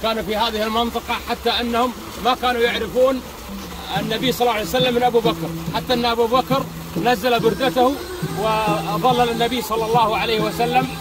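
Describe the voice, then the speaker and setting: A man talks at a moderate pace. The sound is dry with no echo, and background noise is noticeable. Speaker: local guide. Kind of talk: guided tour explanation. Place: garden. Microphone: phone near.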